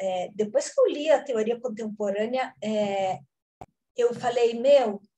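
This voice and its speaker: Music plays in the background as a woman with a high pitch and lively intonation speaks at a very slow pace. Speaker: conservation and restoration teacher. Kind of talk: lecture.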